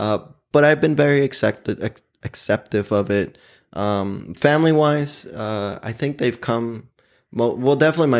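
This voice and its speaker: In a normal speaking voice with an American accent, a man talks at a fairly slow pace with ordinary pitch variation, captured in a very clean recording against a silent background. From Oklahoma City. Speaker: guest sharing personal story. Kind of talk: casual chat.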